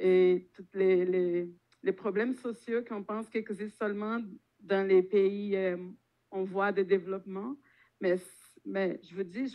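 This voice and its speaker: Speaking at a fairly slow pace, a woman with a Brazilian accent uses a medium pitch and fairly even intonation, with big swings in loudness. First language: Portuguese (speaking French). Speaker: popular education organizer. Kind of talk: panel talk. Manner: hesitant, many fillers.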